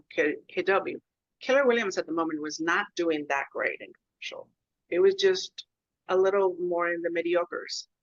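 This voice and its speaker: The speaker has a Spanish accent, with big swings in loudness. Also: woman, moderate pace. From Mexico, Monterrey. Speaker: commercial real estate agent. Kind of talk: interview conversation.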